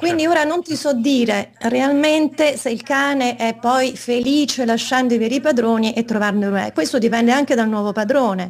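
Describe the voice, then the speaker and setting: Speaking at a moderate pace with hardly any pauses, a woman uses a high pitch and ordinary pitch variation. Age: 50s. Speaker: interview guest. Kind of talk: interview. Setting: video call. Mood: calm, explanatory. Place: home room.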